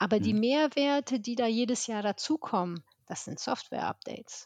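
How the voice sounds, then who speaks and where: In a dry, close sound with no echo and a quiet background, a woman speaks in an ordinary speaking voice, fairly high in pitch. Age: 50s. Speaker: business development manager at a digital agency. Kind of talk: casual interview.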